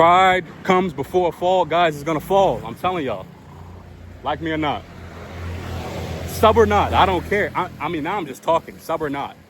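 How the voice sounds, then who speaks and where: Through noticeable background noise, a man with a high voice sounds animated at a moderate pace, with ordinary pitch variation, big swings in loudness and long, frequent pauses. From United States. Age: 30s. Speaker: commentary vlogger. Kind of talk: casual monologue rant. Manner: animated, repetitive with stammering restarts.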